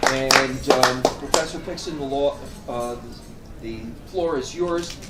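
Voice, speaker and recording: Music plays in the background as a man speaks very slowly, with audible room echo and big swings in loudness. His pitch is fairly high, with ordinary variation. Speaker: event host. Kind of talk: formal introduction. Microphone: far from the microphone.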